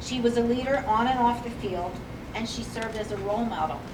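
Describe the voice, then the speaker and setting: The delivery is fairly quick, with fairly even intonation. Noticeable background noise and audible room echo are present. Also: woman. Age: 60s. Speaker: former coach presenting an inductee. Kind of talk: ceremony speech. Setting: hall of fame ceremony. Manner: halting, with fillers and self-corrections.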